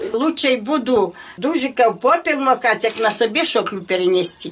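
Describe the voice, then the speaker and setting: A woman's high voice with lively intonation at a moderate pace, very even in loudness, over light background noise. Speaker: village woman, home baker. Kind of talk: casual explanation while cooking. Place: home room. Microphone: camera far.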